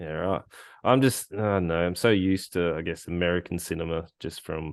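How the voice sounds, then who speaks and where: In a strong Australian accent, a man speaks with very deep, low pitch. His pitch variation is ordinary, and the background is quiet. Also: fairly quick pace. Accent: broad Australian. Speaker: podcast host. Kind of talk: casual chat.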